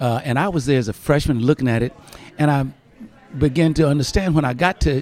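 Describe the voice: Speaking at a fairly quick pace in an American accent, the voice has a slightly mellow tone and ordinary pitch variation. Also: man, fairly high pitch for a man.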